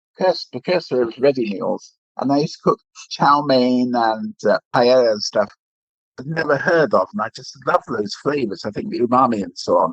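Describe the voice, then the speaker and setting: Here a man with an English accent and a fairly high pitch speaks at a moderate pace, his pitch swinging very widely, in a dry, close sound with no echo. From England. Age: 60s. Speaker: retired food critic. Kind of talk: podcast interview.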